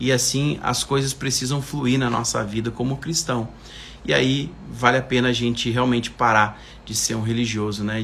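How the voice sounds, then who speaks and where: With fairly even intonation and a medium pitch, a man speaks in a space with audible room echo. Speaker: preacher. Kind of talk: livestream sermon. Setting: live stream.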